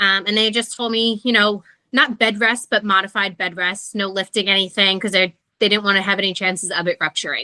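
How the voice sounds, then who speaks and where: A woman's bright, sharp tone at a fairly quick pace, with a New Jersey accent. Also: medium pitch for a woman, fairly even intonation, dry, close sound with no echo. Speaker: podcast guest sharing pregnancy loss story. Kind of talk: casual interview conversation.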